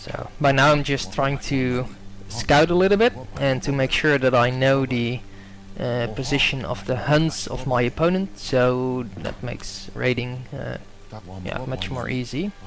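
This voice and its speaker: A man with a Dutch accent speaks at a fairly slow pace and medium pitch. There is noticeable background noise. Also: ordinary pitch variation. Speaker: video game commentator. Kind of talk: gameplay commentary. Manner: hesitant, many fillers.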